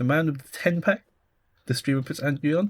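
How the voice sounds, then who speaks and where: Fairly quickly, a man talks in a British accent. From UK. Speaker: podcast co-host. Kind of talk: casual chat.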